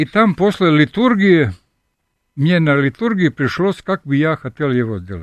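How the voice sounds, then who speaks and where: A man speaks at a fairly slow pace in a fairly high pitch. His pitch swings very widely. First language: Serbian (speaking Russian). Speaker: sculptor and professor. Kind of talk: radio interview. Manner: halting.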